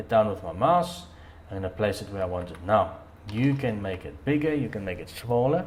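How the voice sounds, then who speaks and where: Speaking at a fairly quick pace with a non-native accent, a man with a fairly low pitch moves through very wide pitch swings and big swings in loudness amid audible room echo. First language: not English. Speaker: dirt bike hobbyist vlogger. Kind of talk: tutorial. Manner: hesitant, many fillers and repeats.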